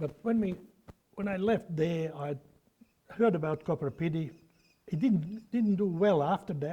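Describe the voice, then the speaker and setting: Dark, mellow tone at a fairly slow pace, broken by long, frequent pauses. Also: man, high pitch for a man, ordinary pitch variation. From Bosnia, former Yugoslavia. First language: Bosnian/Serbo-Croatian. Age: 80s+. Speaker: opal miner. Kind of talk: oral history interview.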